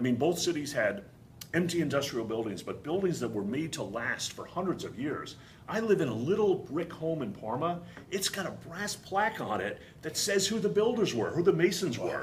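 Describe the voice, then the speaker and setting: Speaking with a Boston accent, a man talks at a high pitch with very wide pitch swings, and audible room echo surrounds his voice. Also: moderate pace. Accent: thick Boston. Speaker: distillery founder. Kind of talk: interview.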